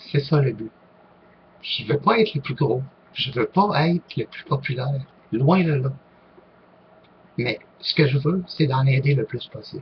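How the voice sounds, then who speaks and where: A man speaks fairly slowly in a fairly high, somewhat breathy voice with ordinary pitch variation and long, frequent pauses. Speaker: online group leader, paranormal YouTuber. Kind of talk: casual vlog Q&A. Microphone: poor-quality microphone.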